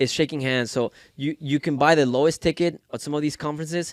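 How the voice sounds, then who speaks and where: Recorded very clean with a silent background and a dry, close sound with no echo, a man with a Spanish accent speaks at a fairly quick pace in a fairly high pitch with ordinary pitch variation. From Mexico. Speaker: entrepreneur. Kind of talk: podcast interview.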